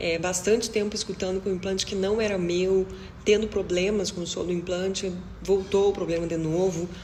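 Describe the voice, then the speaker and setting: Over noticeable background noise and audible room echo, a woman speaks at a moderate pace in a medium pitch with ordinary pitch variation. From southern Brazil, Rio Grande do Sul. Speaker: deaf cochlear implant user, video creator. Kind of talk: personal testimony to camera.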